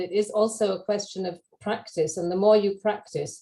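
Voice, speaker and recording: A woman with an American accent speaks at a moderate pace and medium pitch with fairly even intonation. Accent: British, some hear American. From UK. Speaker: language education speaker. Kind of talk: webinar Q&A discussion. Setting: video call.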